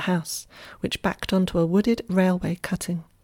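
The voice is somewhat breathy, with a dark, mellow tone and a moderate pace. The sound is dry and close with no echo, in a very clean recording over a silent background. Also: woman. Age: 50s. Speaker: Tai Chi teacher and podcaster. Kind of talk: reflective essay reading.

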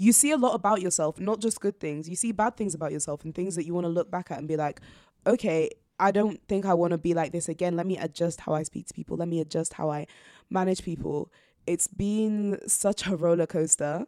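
A woman's fairly low, dark and mellow voice at a fairly quick pace with ordinary pitch variation, dry and close with no echo, in a very clean recording with a silent background. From northern England, York. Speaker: student society president. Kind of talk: casual interview.

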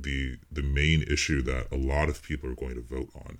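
At a fairly slow pace, a man speaks with a very deep, low pitch. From United States. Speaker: pseudonymous political writer. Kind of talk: podcast interview. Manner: soft-spoken.

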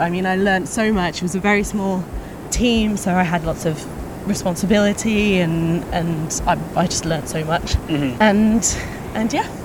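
A woman in a British accent, ordinary pitch variation and noticeable background noise. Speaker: content marketing manager. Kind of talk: casual conversation interview. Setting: outdoors walking.

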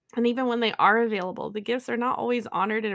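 Recorded very cleanly with a silent background, a woman with an American accent speaks very fast at a medium pitch. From United States. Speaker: mental health podcaster, clinician. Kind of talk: solo podcast monologue, partly scripted.

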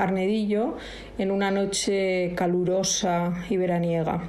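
A woman at a very slow pace and medium pitch, with audible room echo and noticeable background noise. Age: old. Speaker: host's mother, guest contributor. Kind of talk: recorded voice message, monologue.

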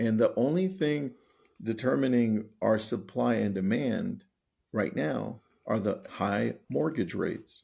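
A man with a dark, mellow tone and vocal fry speaks very slowly, his pitch swinging very widely. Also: medium pitch for a man. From Los Angeles, California. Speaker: real estate coach and author. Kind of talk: interview conversation.

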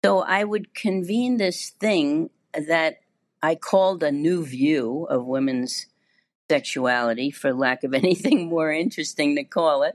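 Against a quiet background, a woman with an American accent and a very deep, low pitch speaks at a fairly slow pace with lively intonation. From New York. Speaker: psychologist and sexologist. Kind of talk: interview conversation.

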